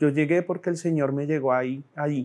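The intonation stays fairly even. Behind it, the background is quiet. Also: man. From Colombia, born in Bogotá, raizal family from San Andrés; Colombia. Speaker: political candidate; candidate. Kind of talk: campaign speech. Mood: earnest, calm, faith-tinged. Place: studio. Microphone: lapel.

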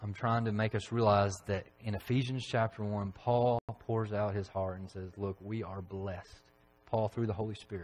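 Fairly low in pitch and somewhat breathy, a man speaks with fairly even intonation over light background noise. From Tennessee, McMinnville; Tennessee. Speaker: preacher. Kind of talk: sermon. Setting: church. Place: church.

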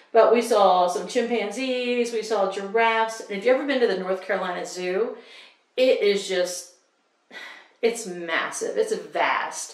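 A woman talks at a fairly slow pace with fairly even intonation. The room echo is audible, and the background is quiet. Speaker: book vlogger. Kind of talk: casual vlog talk to camera. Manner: warm, chatty. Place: home room. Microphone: camera far.

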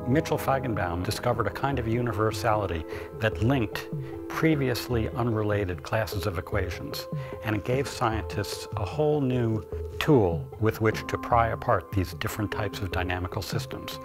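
Clear music sounds in the background. The talking proceeds at a moderate pace. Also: man. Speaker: interviewee. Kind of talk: interview answer. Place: home room.

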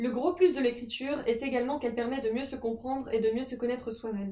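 Against a quiet background with audible room echo, a woman speaks at a fairly quick pace in a high, dark, mellow voice with fairly even intonation. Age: 20s. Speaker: personal development youtuber. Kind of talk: advice talk to camera. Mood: calm, gentle.

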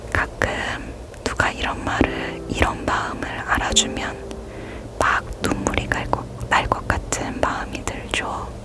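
Over noticeable background noise, a woman whispers at a very slow pace in a gentle tone. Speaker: reiki healer / ASMR healing guide. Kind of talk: ASMR crystal healing session addressed to the listener. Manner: soft, gentle, caring.

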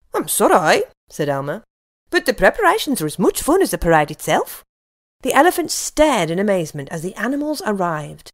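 Speaking at a fairly quick pace, a woman talks with a British accent. The recording is very clean and the background silent. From United Kingdom. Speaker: voice actor. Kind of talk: children's story reading with character voices.

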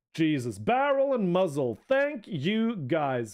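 A man with a Norwegian accent, his pitch swinging very widely, against a quiet background. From Norway. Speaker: video game streamer. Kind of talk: casual live commentary while gaming. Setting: live stream. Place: home room. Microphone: studio mic.

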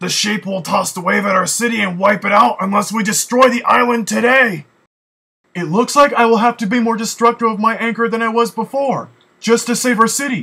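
In a cartoonish character voice, a man talks at a fairly quick pace with a high pitch for a man. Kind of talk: cartoon character dialogue.

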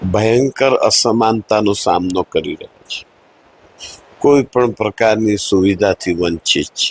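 A man's voice shows big swings in loudness, with a dry, close sound and no echo. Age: 60s. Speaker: politician, parliamentary candidate. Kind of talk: interview.

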